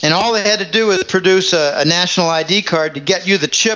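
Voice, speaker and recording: Over noticeable background noise, a man with a high pitch and ordinary pitch variation speaks at a moderate pace. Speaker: financial newsletter writer. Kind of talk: interview discussion.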